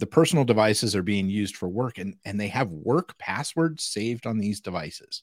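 A man with an American accent speaks in a normal speaking voice, fairly low in pitch, quickish and lively in intonation. The recording is very clean with a silent background, its sound dry and close with no echo. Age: 50s. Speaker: cybersecurity podcast co-host. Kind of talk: casual chat. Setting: live stream.

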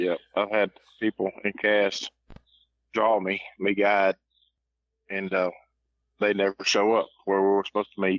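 Using a Southern US accent, a man with a fairly low pitch talks at a fairly slow pace in a monotone, flat delivery broken by long, frequent pauses. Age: 50s. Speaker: coon hunter. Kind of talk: casual chat.

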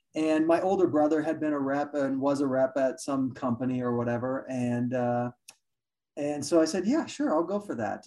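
Ordinary pitch variation runs through the speech at a moderate pace. It is a plain, everyday voice. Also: man, fairly high pitch for a man. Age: 40s. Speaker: insurance executive and podcast host. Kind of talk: podcast interview.

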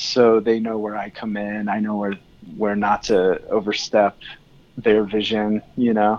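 A man with an American accent speaks at a fairly slow pace, his fairly low pitch held in a monotone, flat intonation. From California (Tehachapi). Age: 30s. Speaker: album cover artist. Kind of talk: casual chat.

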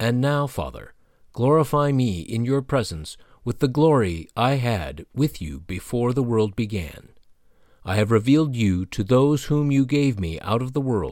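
The recording is very clean, with a silent background. A man with an ordinary speaking voice talks at a fairly slow pace in a medium pitch, his intonation lively. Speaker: devotional reader. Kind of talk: scripture reading aloud, solemn prayer delivery. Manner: earnest, reverent, measured.

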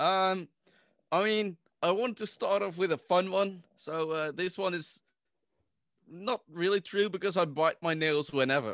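With a Dutch accent, a man speaks at a high pitch and a fairly slow pace, with ordinary pitch variation and long, frequent pauses against a quiet background. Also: dry, close sound with no echo. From Netherlands. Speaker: podcaster guest. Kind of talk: casual chat.

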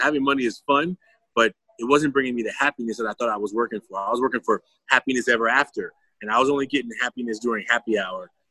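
Speaking at a fairly quick pace with an American accent, a man uses a medium pitch, a bright, sharp tone and ordinary pitch variation, with a dry, close sound and no echo. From Oakland, California. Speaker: educator and mask-work mentor. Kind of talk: interview.

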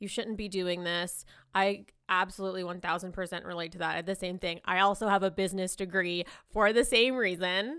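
The tone is bright, sharp and animated, at a fairly quick pace. The recording is very clean with a silent background. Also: woman, medium pitch for a woman. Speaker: podcast host. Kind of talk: casual interview chat. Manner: casual, animated, filler-heavy.

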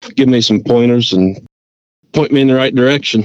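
A man speaks with an Appalachian accent. His pitch sits at a medium level. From West Virginia mountains. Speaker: angler. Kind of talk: interview.

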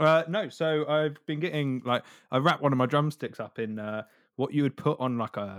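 There is ordinary pitch variation as a man talks with a Devon accent. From Devon, England. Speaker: podcast host, musician. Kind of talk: casual chat.

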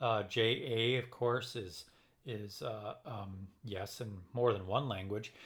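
At a very slow pace, a man speaks in a somewhat breathy, medium-pitched voice with fairly even intonation. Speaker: podcast co-host, violist. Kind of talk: casual chat.

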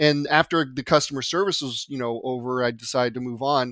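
On a very clean recording with a silent background and a dry, close sound with no echo, a man speaks at a moderate pace with ordinary pitch variation. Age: 50s. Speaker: podcast host, database developer. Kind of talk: technical podcast chat.

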